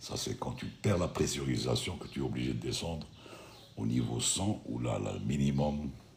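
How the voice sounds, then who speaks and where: A man speaks with a very deep, low pitch over noticeable background noise and audible room echo. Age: 60s. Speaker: retired airline pilot hosting a live stream. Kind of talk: live stream Q&A chat. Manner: casual, conversational.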